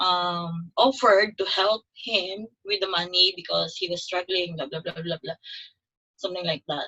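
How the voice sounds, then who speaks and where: A woman with a Filipino accent speaks at medium pitch with fairly even intonation. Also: moderate pace. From Philippines, Davao. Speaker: nurse. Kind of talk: testimony.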